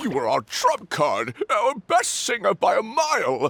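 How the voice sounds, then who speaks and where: Here a man uses a put-on character voice. He delivers it at a fairly slow pace. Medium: video game. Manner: theatrical, fussy.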